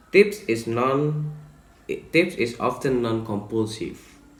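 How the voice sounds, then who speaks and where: A man with an Indonesian accent talks at a very slow pace, somewhat breathy, with ordinary pitch variation. Room echo is audible. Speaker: student presenter. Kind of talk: presentation. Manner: halting.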